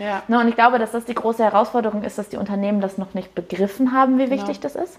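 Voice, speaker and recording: At a very fast pace, a woman talks in a fairly high voice with ordinary pitch variation, with noticeable background noise around her. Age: 20s. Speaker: head of HR and apprentice training. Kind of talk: interview. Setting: live video interview.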